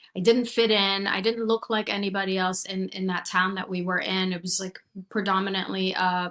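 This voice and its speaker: A woman with a Persian accent speaks at a moderate pace and medium pitch in a monotone, flat intonation. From Iran, moved to US at 16. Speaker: chiropractor and mindset coach. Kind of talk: podcast interview, personal story.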